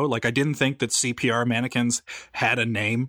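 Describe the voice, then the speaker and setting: The man speaks at a moderate pace. The sound is dry and close with no echo, on a very clean recording with a silent background. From Newfoundland, Canada. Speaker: podcast co-host. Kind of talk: casual chat. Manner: halting.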